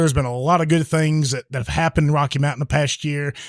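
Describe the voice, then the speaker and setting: Very fast talk from a man, pitch varying in an ordinary way. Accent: southwest Virginia. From Franklin County, southwest Virginia. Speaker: podcast host. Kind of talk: casual chat. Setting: live recording in a bar.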